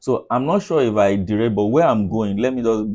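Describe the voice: Using a dark, mellow tone, a man speaks at a fairly low pitch with ordinary pitch variation.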